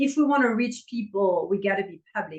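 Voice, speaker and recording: A woman's voice moves at a moderate pace and shows ordinary pitch variation. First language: French. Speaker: intimacy coach. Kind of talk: podcast interview.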